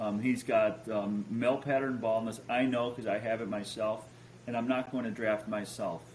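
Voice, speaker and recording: In an American accent, a man speaks at a moderate pace with monotone, flat intonation, over light background noise. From Chicago. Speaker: fantasy football podcast host. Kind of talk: casual chat. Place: home room.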